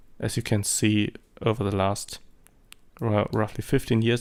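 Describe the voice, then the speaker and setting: Speaking slowly-ish with a German accent, a man uses a fairly low pitch and fairly even intonation. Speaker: amateur photographer, vlogger. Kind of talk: vlog monologue. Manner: hesitant, many fillers.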